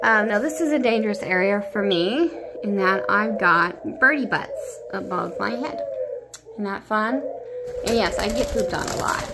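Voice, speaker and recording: Loud background noise nearly swamps a woman talking at a moderate pace. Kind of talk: casual vlog chat. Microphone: phone near.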